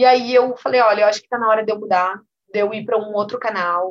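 A woman speaks with an ordinary speaking voice at a medium pitch. Her intonation is fairly even and her pace fairly quick. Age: 30s. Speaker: business executive and entrepreneur. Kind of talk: interview.

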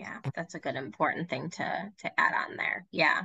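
The woman's voice has vocal fry. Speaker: podcast co-host and trauma therapist. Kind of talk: casual interview conversation.

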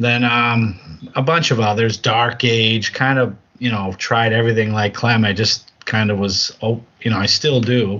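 In a New England accent, the speech comes at a fairly slow pace with fairly even intonation and very even loudness. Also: man, medium pitch for a man. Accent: New England American. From Massachusetts, US. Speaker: podcast co-host, tabletop wargamer. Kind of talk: casual chat.

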